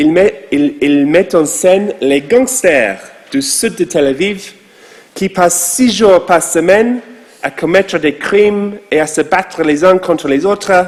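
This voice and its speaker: Lively intonation from a man with an English accent, high-pitched for a man, at a very slow pace amid noticeable background noise. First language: English (speaking French). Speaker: rabbi. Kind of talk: sermon.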